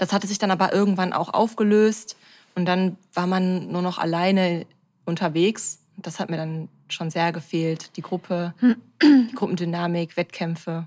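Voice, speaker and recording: A woman uses a normal speaking voice, talking at a fairly slow pace with fairly even intonation. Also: fairly low pitch for a woman. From Ruhr area, Germany (Bochum). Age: 30s. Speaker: amateur athlete and influencer. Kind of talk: casual interview.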